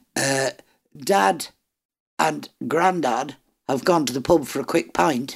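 A woman with an Irish accent speaks at a very deep, low pitch. She goes at a very slow pace, with long, frequent pauses. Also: lively intonation. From Ireland. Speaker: book reviewer. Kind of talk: casual chat.

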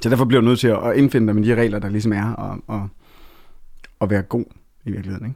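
A man speaks very fast at a fairly low pitch in a dark, mellow tone. His intonation is monotone and flat, with long, frequent pauses. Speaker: songwriter and author. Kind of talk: interview. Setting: studio.

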